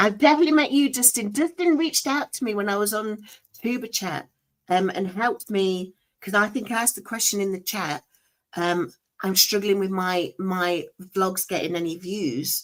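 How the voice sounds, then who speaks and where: A woman speaks with a strong Nottingham accent at a moderate pace. Her medium-pitched voice has lively intonation. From Nottingham, England. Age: 40s. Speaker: weight-loss vlogger. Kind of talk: casual chat. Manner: energetic.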